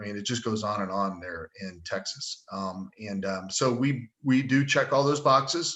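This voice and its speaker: A man talks at a moderate pace in an ordinary speaking voice. His pitch sits in the medium range, with ordinary pitch variation. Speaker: sales engineer presenting a product. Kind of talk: webinar presentation with Q&A. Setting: online webinar.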